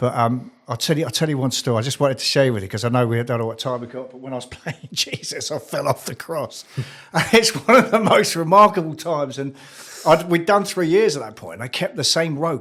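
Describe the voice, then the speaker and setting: Against noticeable background noise, a man with a fairly high pitch talks at a fairly quick pace, his pitch swinging very widely and his loudness swinging a lot. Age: 60s. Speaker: former actor, recovered addict. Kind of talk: casual interview.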